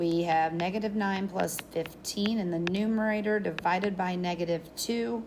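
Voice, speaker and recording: Fairly slow speech with ordinary pitch variation and audible room echo. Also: woman. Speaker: math teacher. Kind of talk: lecture. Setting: recorded video lesson. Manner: animated.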